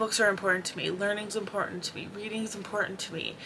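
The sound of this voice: A woman talks at a fast pace and medium pitch, with fairly even intonation.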